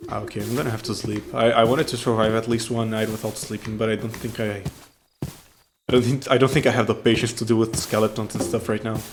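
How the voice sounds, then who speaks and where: A man talks at a very fast pace with a medium pitch. His intonation is monotone and flat. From non-English-speaking country. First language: not English. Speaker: gaming YouTuber. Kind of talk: casual gameplay commentary. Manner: hesitant, many fillers and restarts.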